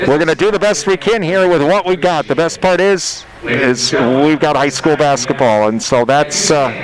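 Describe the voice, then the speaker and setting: A man's fairly high voice in an American accent, with lively intonation, very even loudness and a moderate pace over noticeable background noise. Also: hardly any pauses. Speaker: radio sports play-by-play announcer. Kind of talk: live sports broadcast pregame talk. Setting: high school gym, radio broadcast. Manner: hesitant, many fillers.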